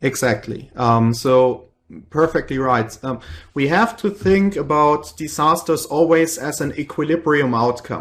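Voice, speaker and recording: A fairly high-pitched man at a fairly slow pace with ordinary pitch variation. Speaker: professor. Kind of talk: lecture. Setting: video call.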